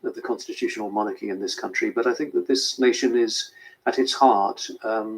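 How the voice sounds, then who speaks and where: A man is speaking. He has a British accent. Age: 60s. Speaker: royal correspondent. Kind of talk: news interview. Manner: hesitant with fillers.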